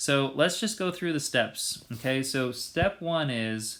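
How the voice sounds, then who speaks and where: A man speaks in an unremarkable speaking voice. His pace is moderate and his pitch varies in an ordinary way. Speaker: math teacher. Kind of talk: video lesson. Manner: casual with fillers.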